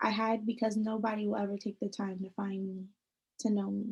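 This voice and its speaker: Speech comes at a fairly slow pace in a dark, mellow tone. There is a somewhat breathy quality. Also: woman. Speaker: poet. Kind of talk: poetry reading.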